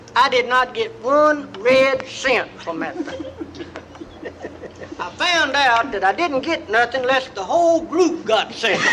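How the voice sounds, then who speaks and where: Over noticeable background noise, a man with an East Texas accent uses a raised, projected voice at an extremely high pitch, speaking at a fairly slow pace. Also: lively intonation. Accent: East Texas Southern. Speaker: comedian. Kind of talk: comedy storytelling album. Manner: folksy, rambling.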